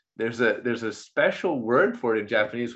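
The man talks fairly quickly at a medium pitch in a plain, everyday voice. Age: 40s. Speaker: podcast host. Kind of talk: casual chat.

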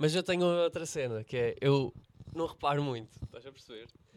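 Speaking at a fairly quick pace, a man with a fairly high voice has a European Portuguese accent. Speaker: comedian. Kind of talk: casual chat.

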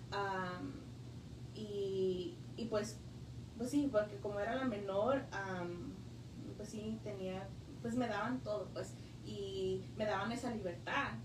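A woman speaks at a very slow pace, with long, frequent pauses. The room echo is audible and the background noise is noticeable. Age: 20s. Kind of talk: testimony. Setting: parish library radio studio. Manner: halting with many fillers.

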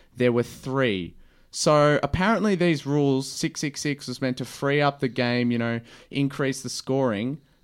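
In a very clean recording with a silent background, a man with an Australian accent talks at a fairly high pitch with ordinary pitch variation. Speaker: podcast host, footy fan. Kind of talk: casual chat.

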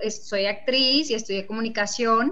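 A woman speaks at a moderate pace with a fairly high pitch and a bright, sharp tone. Audible room echo surrounds her voice. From Mexico, Nuevo Casas Grandes, Chihuahua. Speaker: fashion designer and entrepreneur. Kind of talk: interview.

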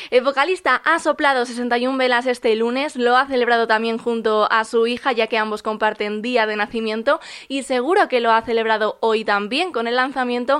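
The speech moves at a moderate pace with fairly even intonation. The recording is very clean, with a silent background. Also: woman. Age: 20s. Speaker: music podcaster and radio contributor. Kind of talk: prepared music recommendation segment.

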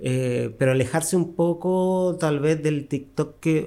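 In a very clean recording with a silent background, a man speaks. His dark, mellow tone carries ordinary pitch variation. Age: 50s. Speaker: costume designer and tailor. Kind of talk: interview. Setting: his workshop.

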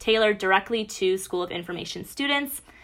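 A woman with an American accent talks at a fairly quick pace. Her pitch is medium and her tone bright and sharp. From Michigan, Bloomfield Hills. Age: 20s. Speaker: university student. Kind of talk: casual chat.

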